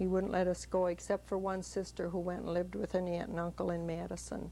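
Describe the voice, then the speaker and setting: A woman with a Wisconsin accent talks at a very fast pace. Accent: Upper Midwest (Wisconsin). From US Midwest, Sauk City, Wisconsin. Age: 50s. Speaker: grandmother interviewed for family history. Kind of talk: family interview.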